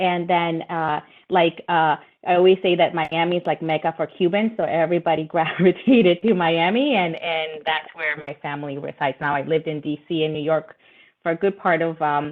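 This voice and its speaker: A woman with a Spanish accent, fairly low-pitched, at a moderate pace and with fairly even intonation. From Latin America (Nicaragua, Brazil, Ecuador, Peru, Colombia), moved to US at 12. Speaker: lawyer, panelist. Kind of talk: webinar panel discussion. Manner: hesitant, many fillers.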